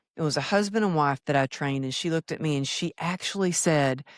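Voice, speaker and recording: A woman with a Texas accent speaks at a very deep, low pitch with lively intonation, in a dry, close sound with no echo on a very clean recording against a silent background. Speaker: former fitness trainer, speaker. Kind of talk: podcast interview.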